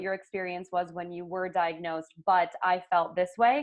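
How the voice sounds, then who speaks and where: A woman with a plain, everyday voice talks at a moderate pace in a medium pitch. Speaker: podcast host. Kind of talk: podcast interview, casual conversation.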